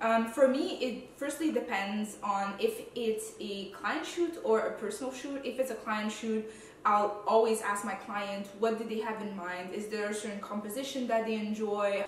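A woman talks at a moderate pace with hardly any pauses and ordinary pitch variation. Light background noise and audible room echo are present. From Quebec. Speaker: food photographer and content creator. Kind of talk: casual Q&A vlog. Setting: home, filmed video. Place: home room.

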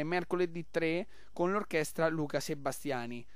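Upbeat and enthusiastic, a man speaks. His pitch is fairly high. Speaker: radio host. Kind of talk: radio pitch promoting a festival taverna and event schedule. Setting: live radio broadcast from a local festival. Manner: upbeat, rapid-fire, enthusiastic promoter; jovial, chatty, superlative-laden.

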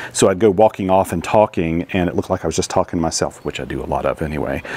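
A man talks with a very deep, low pitch. His intonation stays fairly even, and the sound is dry with no echo. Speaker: amateur radio operator. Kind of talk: casual vlog chat. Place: open country. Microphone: lapel.

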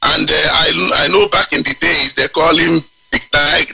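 Man with a Nigerian accent at a moderate pace, in a dry, close sound with no echo. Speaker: caller. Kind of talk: call-in radio show.

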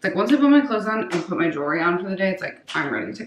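A woman's voice with very wide pitch swings and audible room echo. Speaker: lifestyle vlogger. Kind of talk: casual vlog chat. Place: bathroom. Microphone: phone near.

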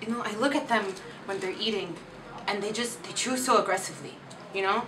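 A woman talks with ordinary pitch variation. Noticeable background noise runs behind her. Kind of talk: comedy sketch monologue. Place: home room. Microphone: camera far.

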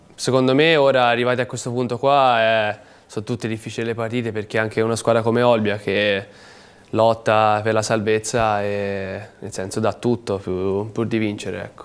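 The man talks at a moderate pace, his intonation fairly even. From Tuscany, Livorno; Tuscany. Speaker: professional footballer; guest. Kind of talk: TV sports talk show interview. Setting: TV studio. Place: studio.

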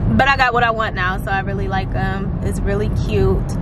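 Loud background noise around a dry sound with no echo. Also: woman. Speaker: vlogger. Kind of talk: casual vlog chat. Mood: relaxed, upbeat. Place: car. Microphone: phone near.

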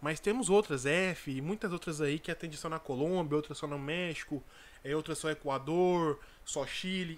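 A man talks at a moderate pace. His pitch varies an ordinary amount. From Brazil. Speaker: dropshipping entrepreneur and YouTuber; dropshipping content creator. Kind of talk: casual vlog tutorial. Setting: home recording. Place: home room. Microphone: studio mic.

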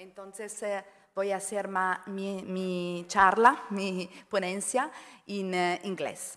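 Speaking very slowly, a woman with an Italian accent keeps fairly even intonation at a medium pitch. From Italy. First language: Italian (speaking Spanish). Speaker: sociology professor. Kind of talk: conference talk opening. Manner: halting, hesitant Spanish. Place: hall. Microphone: podium.

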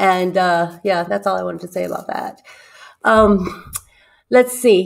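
Speaking at a fairly slow pace, a woman with a medium pitch and ordinary pitch variation leaves long, frequent pauses, her loudness swinging widely. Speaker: book club co-host. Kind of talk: casual chat. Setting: live stream. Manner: playful.

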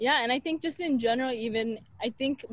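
A woman with an American accent speaks in a dry recording with no echo. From US Pacific Northwest, Portland, Oregon; Oregon. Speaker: medical student; podcast guest. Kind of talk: casual interview chat. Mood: warm, enthusiastic. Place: garden. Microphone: earbuds.

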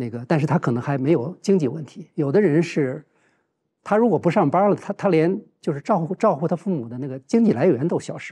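Against a quiet background, a man with a dark, mellow tone talks at a fairly quick pace with lively intonation. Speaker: professor. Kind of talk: roundtable discussion. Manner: halting, many filler sounds. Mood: calm, earnest, reflective. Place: studio. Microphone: lapel.

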